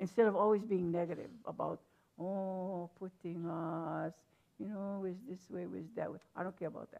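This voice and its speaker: A woman with a Hawaiian accent speaks at a moderate pace and medium pitch, her intonation fairly even but her loudness swinging widely. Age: 70s. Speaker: hula teacher. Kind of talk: panel discussion.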